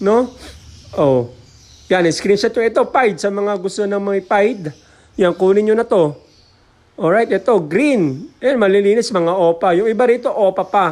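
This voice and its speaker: Long, frequent pauses break up a man's speech. He has a high pitch with ordinary pitch variation. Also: fairly slow pace. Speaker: bird breeder and seller. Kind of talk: street-seller style sales pitch, vlog. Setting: outdoors at aviary, filming with camera. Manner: animated, upbeat, repeats price hooks.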